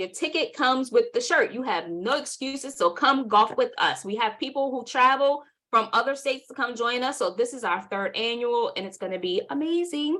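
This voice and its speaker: A woman speaks with a New York accent at a fairly quick pace. Her tone is bright and sharp. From New York City (Southside Jamaica, Queens). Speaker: workshop presenter and marketing agency owner. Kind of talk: webinar workshop.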